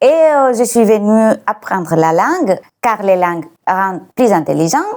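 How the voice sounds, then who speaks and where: Lively, fairly high female speech in a Greek accent at a fairly slow pace. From Greece. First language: Greek (speaking French). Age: 40s. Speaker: YouTuber and language tutor. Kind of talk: casual vlog talk on nutrition. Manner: hesitant with frequent fillers.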